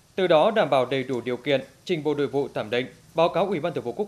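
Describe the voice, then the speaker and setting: A man with a fairly high pitch races along at a very fast pace, his intonation lively. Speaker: news anchor. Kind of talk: news reading. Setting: studio.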